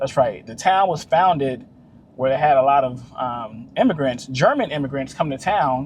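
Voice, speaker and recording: A man speaks with a fairly high pitch and an animated tone. His voice is somewhat breathy. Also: ordinary pitch variation, moderate pace. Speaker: travel vlogger. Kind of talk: casual vlog narration. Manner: casual, animated.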